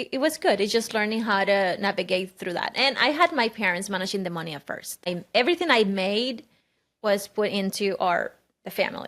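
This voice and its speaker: In a very clean recording with a silent background, a woman speaks at a medium pitch and a fairly quick pace with ordinary pitch variation. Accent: Cuban. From Cuba. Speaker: podcast host. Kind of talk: casual podcast conversation.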